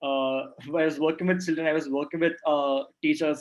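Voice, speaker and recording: A man with a Keralan accent and fairly even intonation. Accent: Indian English (Malayali). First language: Malayalam. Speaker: traveller and former education worker. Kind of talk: online talk Q&A. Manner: halting, many fillers.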